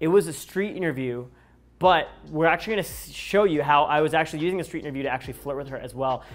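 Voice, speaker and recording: On a very clean recording with a silent background, a man talks very fast at a fairly high pitch with ordinary pitch variation. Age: 20s. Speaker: dating coach YouTuber. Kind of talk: casual interview and video breakdown. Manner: casual, filler-heavy.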